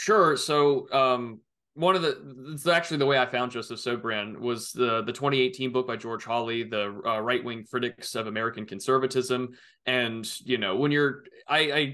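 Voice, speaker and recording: With a bright, sharp tone, a man speaks at a moderate pace with ordinary pitch variation against a quiet background. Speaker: remote podcast guest. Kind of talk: interview answer. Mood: relaxed, occasionally laughing. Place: home room. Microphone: earbuds.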